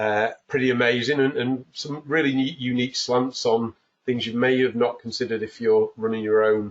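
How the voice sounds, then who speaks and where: The man's pace is moderate. His intonation is fairly even. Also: medium pitch for a man. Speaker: webinar host. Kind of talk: webinar introduction. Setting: home office, online webinar.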